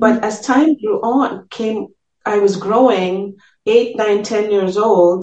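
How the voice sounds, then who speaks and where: Fairly high in pitch, a woman speaks at a very slow pace with fairly even intonation. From Trinidad and Tobago. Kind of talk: testimony.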